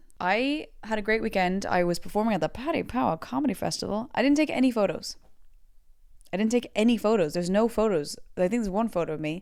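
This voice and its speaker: A woman's fairly high, animated voice at a very fast pace, with lively intonation, on a very clean recording with a silent background. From Belgium (Brussels), Irish family. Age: 30s. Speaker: comedian and podcast host. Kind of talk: casual solo podcast chat.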